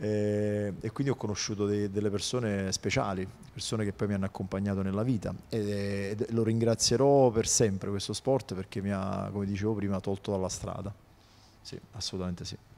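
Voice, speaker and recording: A man talks at a fairly quick pace with a fairly low pitch. His tone is dark and mellow, his intonation monotone and flat. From Naples area, Italy (Casoria); Italy. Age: 40s. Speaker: tennis coach. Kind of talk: interview. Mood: relaxed, warm. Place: studio. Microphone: handheld.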